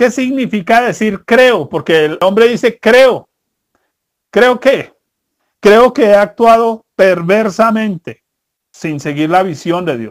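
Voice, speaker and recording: A man with a high voice speaks very slowly, leaving long, frequent pauses, his pitch varying in an ordinary way. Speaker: preacher. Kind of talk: sermon. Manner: didactic, earnest, direct address to parents; colloquial, conversational with humorous anecdotes.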